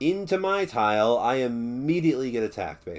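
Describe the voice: Lively intonation throughout plain reading aloud.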